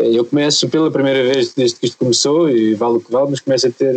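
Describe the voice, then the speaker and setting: Fairly even in intonation, the speech runs very fast with a dry, close sound and no echo. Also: man. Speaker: member of parliament. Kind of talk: podcast discussion.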